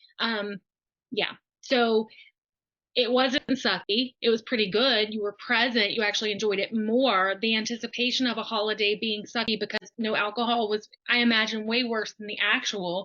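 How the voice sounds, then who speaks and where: A flat, monotone delivery at a moderate pace. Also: woman, fairly high pitch for a woman. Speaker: sober coach hosting client interview. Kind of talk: live-streamed interview. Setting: live stream video call. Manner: casual, chatty.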